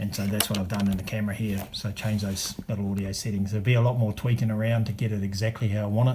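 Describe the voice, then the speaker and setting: Over noticeable background noise, a man talks at a very fast pace with hardly any pauses, his fairly low voice held in a monotone, flat intonation. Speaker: video creator testing camera gear. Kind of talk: tutorial. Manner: hesitant, many fillers.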